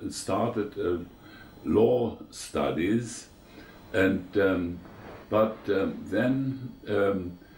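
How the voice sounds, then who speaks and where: A man's fairly low, somewhat breathy voice at a very slow pace, with ordinary pitch variation and audible room echo. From eastern Germany. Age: 90s. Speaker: war veteran. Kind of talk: interview. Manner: halting, many fillers.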